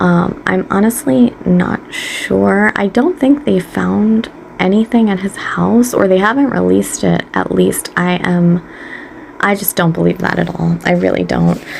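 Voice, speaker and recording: A woman talks fairly slowly while noticeable noise sits in the background. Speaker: beauty and true crime YouTuber. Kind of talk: casual chat. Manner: animated.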